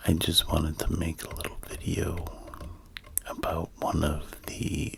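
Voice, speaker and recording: A man whispers in a calm tone at a very slow pace. Noticeable background noise is present. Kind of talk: ASMR demonstration. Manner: calm, soft-spoken.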